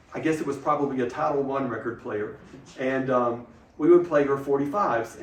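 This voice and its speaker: The speaker talks at a fairly quick pace in an Alabama accent, with ordinary pitch variation. Noticeable background noise sits behind the voice. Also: man, fairly high pitch for a man. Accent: Southern American (Alabama). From Mentone, Alabama. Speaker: retired teacher and school principal. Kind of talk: oral history interview answer.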